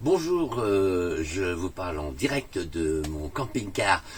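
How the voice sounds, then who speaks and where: There is noticeable background noise as a man talks in a very deep, low voice with very wide pitch swings. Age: 60s. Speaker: customer testimonial, theatre owner. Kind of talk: testimony. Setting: in a camper van. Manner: hesitant, many fillers.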